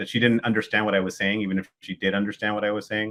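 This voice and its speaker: Speaking at a very fast pace, the man has a fairly low pitch. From California Central Valley (Kingsburg, near Fresno). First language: Spanish. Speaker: political party chair. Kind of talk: casual interview chat. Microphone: connection cut out briefly.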